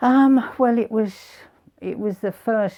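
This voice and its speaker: A man talks with a southern English accent at a fairly slow pace. His tone is dark and mellow. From southern England, Kent. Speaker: retired greengrocer. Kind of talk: interview. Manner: halting.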